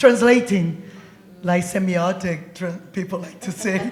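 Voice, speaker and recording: A woman with a Brazilian Portuguese accent speaks at a medium pitch with ordinary pitch variation, over noticeable background noise and audible room echo. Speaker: poet. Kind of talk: panel discussion. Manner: animated.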